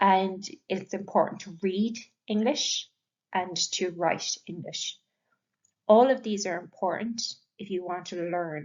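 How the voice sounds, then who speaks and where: A woman of medium pitch speaks with an Irish accent at a fairly slow pace and with fairly even intonation. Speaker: English language teacher. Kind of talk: lecture.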